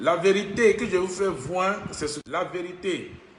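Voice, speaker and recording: The voice comes through with audible room echo and noticeable background noise. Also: man. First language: Ivorian local language (French not mother tongue) (speaking French). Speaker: self-styled spiritual teacher. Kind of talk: spiritual monologue. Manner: halting, repetitive.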